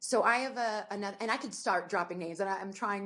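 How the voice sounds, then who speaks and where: A woman speaks with an American accent at a medium pitch. Her intonation is lively and her tone animated. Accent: US Northeast, slips in at times. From New Jersey. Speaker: sports anchor and reporter. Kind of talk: interview conversation. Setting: podcast. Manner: fast.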